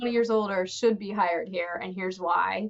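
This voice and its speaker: This is an unremarkable speaking voice from a woman at medium pitch. She talks at a fairly quick pace with ordinary pitch variation. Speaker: podcast host. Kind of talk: casual conversation.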